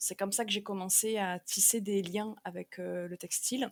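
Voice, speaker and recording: Her intonation is flat and monotone at a medium pitch. The woman talks at a fairly slow pace. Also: dry, close sound with no echo. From southern France, Marseille. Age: 30s. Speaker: textile artist, weaver. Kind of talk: podcast interview. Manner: hesitant, many fillers.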